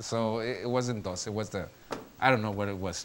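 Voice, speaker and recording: A man talks with a Spanish accent. His pace is fairly quick. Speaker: lecturer / teacher. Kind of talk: classroom lecture. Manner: halting, with many fillers.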